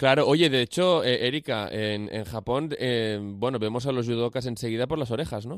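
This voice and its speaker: An ordinary speaking voice from a man, medium in pitch, at a moderate pace with ordinary pitch variation, hardly any pauses and a very clean recording with a silent background. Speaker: radio host. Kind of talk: radio interview.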